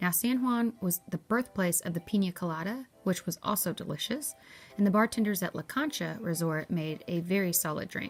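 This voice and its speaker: With an American accent, a woman speaks with lively intonation. Music plays in the background. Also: medium pitch for a woman, moderate pace. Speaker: travel vlogger. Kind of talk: travel review vlog.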